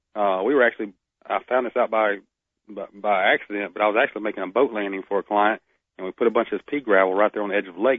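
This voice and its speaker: The speech comes at a very fast pace with a Southern US accent. Intonation stays fairly even. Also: man. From Northeast Florida. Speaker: wildlife biologist. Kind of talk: casual radio interview. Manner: halting, many repetitions.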